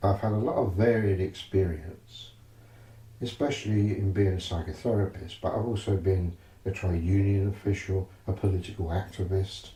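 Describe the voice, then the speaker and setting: With an East London accent, a man speaks at a fairly low pitch. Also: fairly even intonation, moderate pace. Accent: East End London. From London East End. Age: 70s. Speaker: psychotherapist. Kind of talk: interview.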